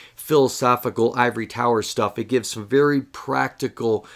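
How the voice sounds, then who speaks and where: A man speaks at a moderate pace with a medium pitch, ordinary pitch variation and a plain, everyday voice. The recording is very clean, with a silent background. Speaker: children's ministry podcast host. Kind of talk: podcast monologue.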